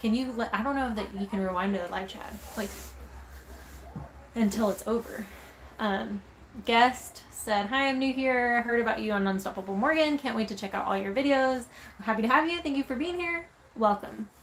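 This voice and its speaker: Long, frequent pauses break up speech with an American accent, heard over noticeable background noise. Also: woman, fairly high pitch for a woman, ordinary pitch variation, moderate pace. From Texas. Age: 20s. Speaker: van life vlogger. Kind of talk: casual chat. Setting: livestream.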